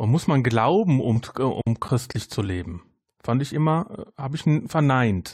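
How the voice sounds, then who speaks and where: A man speaks at a medium pitch with a somewhat breathy voice. His intonation is lively and his pace fairly slow. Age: 40s. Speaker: podcaster. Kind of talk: casual chat.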